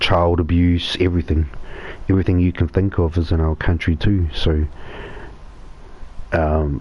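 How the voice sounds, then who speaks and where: A man with a New Zealand accent speaks at a moderate pace in a very deep, low, somewhat breathy voice, his loudness very even and his pauses long and frequent. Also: fairly even intonation. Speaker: gaming live streamer. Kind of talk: casual live stream chat.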